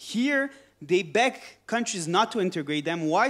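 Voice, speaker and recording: Captured in a very clean recording with a silent background, a man speaks with a high pitch. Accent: French. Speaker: politician. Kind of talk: panel discussion. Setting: conference with audience.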